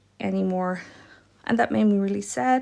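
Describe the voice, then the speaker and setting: A woman with a Dutch accent. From Netherlands. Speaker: watercolor art teacher. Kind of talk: live-stream painting tutorial. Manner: casual, chatty.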